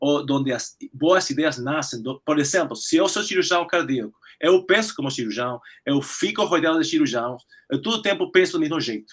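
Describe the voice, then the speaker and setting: Speaking in a Spanish accent, a man with a fairly high pitch keeps a moderate pace and ordinary pitch variation. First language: Spanish (speaking Portuguese). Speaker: cardiac surgeon. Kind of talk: webinar Q&A discussion. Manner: halting.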